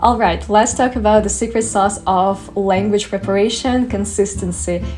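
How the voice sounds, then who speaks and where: The speaker has a Russian accent and talks at a fairly quick pace. Noticeable background noise runs underneath. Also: woman. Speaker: study tips vlogger. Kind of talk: casual tutorial.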